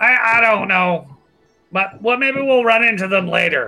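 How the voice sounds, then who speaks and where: Faint music plays behind a put-on character voice with a fairly high pitch, delivered at a fairly slow pace. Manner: casual, chatty.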